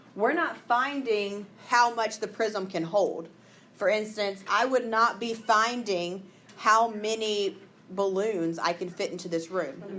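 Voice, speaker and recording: In a Southern US accent, a woman with a bright, sharp tone and fairly high pitch speaks fairly slowly with ordinary pitch variation, and room echo is audible. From Mississippi. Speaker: math teacher. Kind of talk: classroom lesson. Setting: classroom with students.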